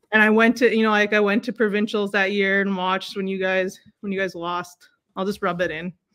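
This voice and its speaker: A woman of medium pitch speaks at a fairly quick pace. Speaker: basketball coach and educator. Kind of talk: casual interview. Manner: loud; animated.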